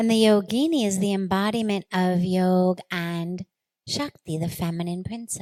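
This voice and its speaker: A woman with an American accent speaks at a fairly low pitch with ordinary pitch variation, the sound dry and close with no echo. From Los Angeles, USA. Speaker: spiritual leader. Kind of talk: spiritual discourse.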